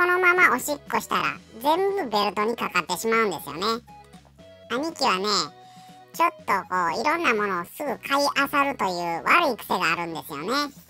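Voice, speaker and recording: Over clear music in the background, a female-sounding put-on character voice moves at a fairly quick pace, fairly high in pitch with very wide pitch swings. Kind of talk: pet voice-over comedy. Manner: casual, chatty.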